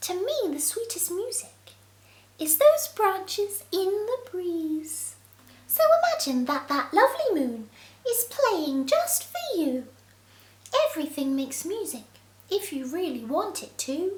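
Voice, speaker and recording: A woman's put-on character voice, squeaky and extremely high, with very wide pitch swings at a fairly slow pace. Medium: read story. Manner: soft, encouraging.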